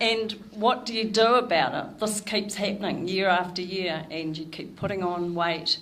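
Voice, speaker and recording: This woman has a normal speaking voice, medium in pitch. She moves at a moderate pace and her pitch varies in an ordinary way. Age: 60s. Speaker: nutrition educator. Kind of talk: talk to a club audience.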